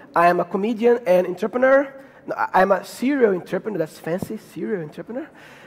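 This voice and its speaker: Through noticeable background noise, a man with a Brazilian Portuguese accent speaks at a very fast pace with a high pitch and ordinary pitch variation. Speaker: comedian and speaker. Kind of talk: conference talk. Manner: halting.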